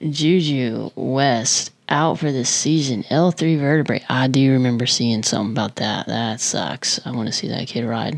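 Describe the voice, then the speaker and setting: A woman speaks quietly in a very deep, low voice with ordinary pitch variation at a fairly slow pace. Noticeable background noise is present. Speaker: motorsport vlogger. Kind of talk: casual vlog commentary. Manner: quiet, held-down voice; casual, chatty.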